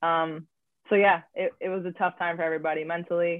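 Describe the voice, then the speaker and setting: An ordinary speaking voice with an American accent, at a fairly quick pace and in fairly even intonation. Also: woman. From Wisconsin, US Midwest. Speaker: professional basketball player. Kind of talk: casual interview.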